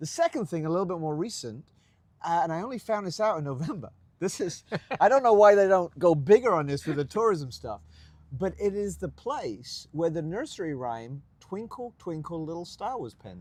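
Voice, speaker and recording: At a moderate pace, a man with a high, animated voice makes very wide pitch swings and big swings in loudness. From England, Colchester, Essex. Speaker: pastor. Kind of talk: casual interview.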